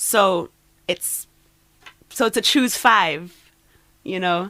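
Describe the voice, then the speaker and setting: The speaker has a Trinidadian accent, a bright, sharp tone, and ordinary pitch variation. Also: woman. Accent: Trinidadian Caribbean lilt. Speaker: poet. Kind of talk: casual interview chat.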